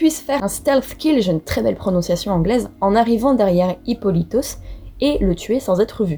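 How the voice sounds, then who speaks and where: Over music in the background, a woman with a fairly high voice speaks at a moderate pace with very wide pitch swings. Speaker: mythology podcast host. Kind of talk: casual storytelling narration.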